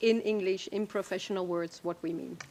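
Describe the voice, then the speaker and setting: With fairly even intonation, this woman talks at a medium pitch. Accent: Dutch. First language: Dutch. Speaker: expert witness. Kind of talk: witness testimony. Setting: courtroom. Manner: hesitant.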